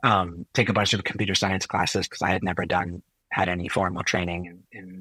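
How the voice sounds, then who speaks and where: A man with a Californian accent speaks fairly quickly in a very deep, low voice with a bright, sharp tone and monotone, flat intonation. His loudness swings widely, and the sound is dry and close with no echo. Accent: California American English. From US, Silicon Valley (born in Chile). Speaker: physician and health technologist. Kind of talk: interview conversation.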